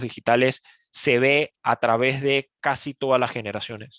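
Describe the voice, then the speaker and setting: A man speaks at a medium pitch and a fairly slow pace. The sound is dry and close with no echo, over a quiet background. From Panama. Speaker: e-commerce speaker. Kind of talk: webinar presentation. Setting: online webinar. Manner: halting, many fillers.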